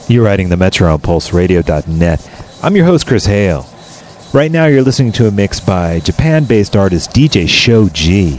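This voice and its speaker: A man's fairly low voice with very wide pitch swings and very even loudness, at a moderate pace amid noticeable background noise. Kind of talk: radio DJ patter: brisk show intros, track-by-track backannounce, mix handoffs.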